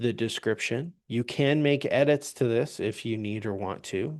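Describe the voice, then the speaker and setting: A man with an ordinary speaking voice, ordinary pitch variation and a fairly slow pace, over a quiet background. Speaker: software trainer. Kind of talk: live webinar tutorial. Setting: live webinar with screen share.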